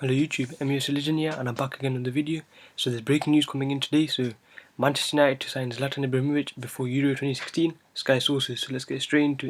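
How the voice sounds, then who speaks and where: The voice is quiet and goes at a very fast pace. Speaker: football fan vlogger. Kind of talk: casual vlog, reading out transfer news. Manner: speaking quietly.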